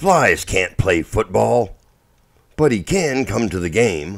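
A man puts on a character voice with vocal fry. His pitch is fairly low, it swings widely, and his pace is slow.

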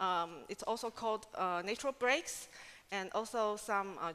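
A woman's fairly high voice, bright and sharp in tone, at a moderate pace. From Taiwan. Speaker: scientific associate, researcher; conference presenter. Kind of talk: conference talk. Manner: halting, with many fillers. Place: hall. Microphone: podium.

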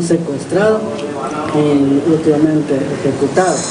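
Noticeable background noise sits behind a man speaking at a very slow pace. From Guatemala. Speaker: parent of missing migrant. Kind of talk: testimony. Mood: earnest, grave. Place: hall. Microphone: podium.

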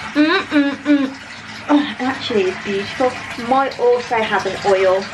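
This woman speaks at a fairly slow pace with ordinary pitch variation. Noticeable background noise runs behind her. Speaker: vlogger. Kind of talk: casual vlog chat. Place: bathroom. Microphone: phone near.

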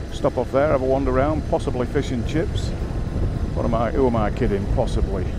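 Moderate pace, dry sound with no echo, and loud background noise. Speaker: motorcycle rider vlogger. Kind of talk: casual vlog commentary. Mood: relaxed, cheerful. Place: motorbike. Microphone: helmet.

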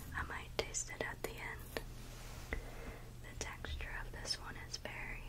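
Someone whispers. The words come out very slowly. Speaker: ASMR creator. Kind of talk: ASMR eating video talk. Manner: whispered. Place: home room. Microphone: studio mic.

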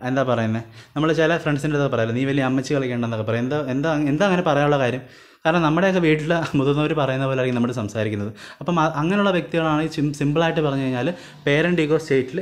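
In a room with audible echo, a man speaks at a fairly high pitch with ordinary pitch variation and very even loudness. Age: 20s. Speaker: online teacher. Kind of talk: lecture. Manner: conversational.

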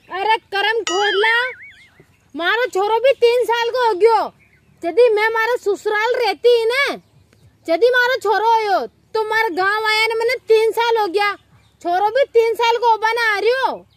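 In a dry recording with no echo, a woman with an extremely high pitch speaks at a fairly slow pace. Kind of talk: scripted dialogue in local dialect. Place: open country.

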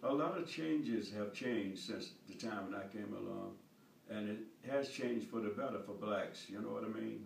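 Over light background noise, a man speaks with an American accent, with audible room echo. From North Carolina, US. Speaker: war veteran. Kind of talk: interview answer. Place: home room. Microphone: camera far.

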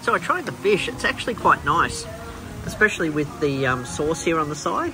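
The speaker moves at a moderate pace with ordinary pitch variation. Clear music plays in the background. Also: man. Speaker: travel vlogger. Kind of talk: casual vlog chat. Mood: relaxed. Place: cafe. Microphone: phone near.

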